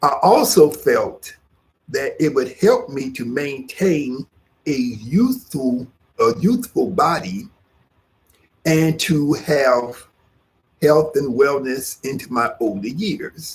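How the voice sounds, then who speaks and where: A man speaks very slowly in a fairly high, somewhat breathy voice, with very wide pitch swings and long, frequent pauses. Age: 60s. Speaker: yoga teacher. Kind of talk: instructional class talk. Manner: halting, with frequent fillers.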